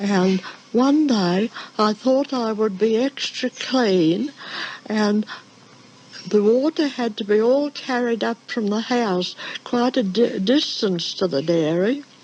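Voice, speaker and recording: The speech moves at a very slow pace with lively intonation, with noticeable background noise behind it. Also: woman. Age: 80s+. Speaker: former dairy farm worker. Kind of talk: oral history recollection.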